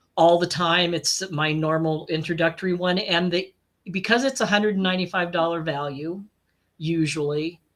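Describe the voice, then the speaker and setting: A woman's fairly low voice, a normal speaking voice, at a moderate pace with fairly even intonation. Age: 60s. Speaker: life and business coach. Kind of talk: casual interview chat.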